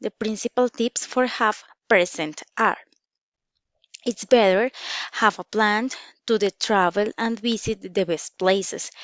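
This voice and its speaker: This woman speaks at a very slow pace, her medium-pitched voice carrying fairly even intonation. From Colombia, Bogota. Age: 30s. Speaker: English language student. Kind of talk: class presentation. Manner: halting, self-correcting.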